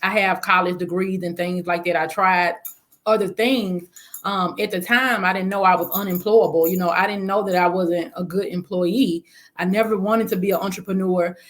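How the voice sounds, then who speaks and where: A woman with a Southern accent speaks in a flat monotone. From US South, Memphis. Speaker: spa business owner. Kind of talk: interview.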